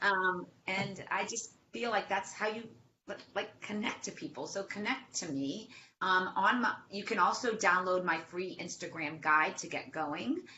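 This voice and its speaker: With a Boston accent, a woman talks at a fairly slow pace with lively intonation amid noticeable background noise. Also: medium pitch for a woman. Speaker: social media marketing expert. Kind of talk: webinar interview. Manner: animated.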